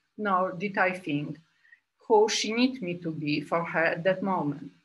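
A woman with a Polish accent speaks at a fairly slow pace, her intonation lively. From Poland. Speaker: group analyst psychotherapist. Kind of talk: lecture. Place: home room. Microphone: webcam.

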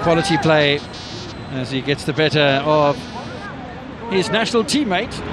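Against crowd noise in the background, a man speaks with lively intonation at a moderate pace, leaving long, frequent pauses. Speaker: play-by-play commentator. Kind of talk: live football commentary, play-by-play over the action with occasional banter. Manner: conversational, with hesitations and fillers.

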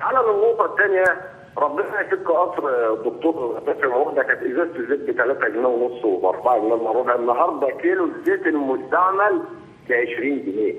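Very even loudness at a moderate pace. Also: man. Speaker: caller. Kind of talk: phone-in opinion. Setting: phone call. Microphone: phone line.

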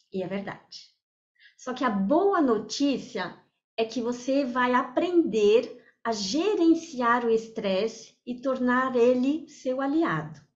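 In a French accent, a woman talks at a very slow pace with a high pitch and lively intonation. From France. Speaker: therapist and lecturer. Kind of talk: online talk. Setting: video call.

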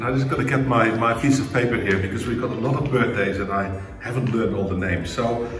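Audible room echo and light background noise surround a man. He talks at a very fast pace with ordinary pitch variation. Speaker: church host giving announcements. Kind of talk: church announcements. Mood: warm, upbeat. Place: home room. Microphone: camera far.

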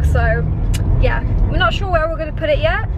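A woman's very fast speech, dry with no echo, over loud background noise. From Poland, raised in England. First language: Polish. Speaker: vlogger. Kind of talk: casual vlog talk to camera. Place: car. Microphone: phone near.

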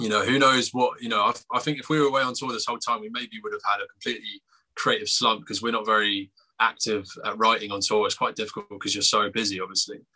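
A man with an English accent speaks at a very fast pace. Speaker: punk band musician and lyricist. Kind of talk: casual interview.

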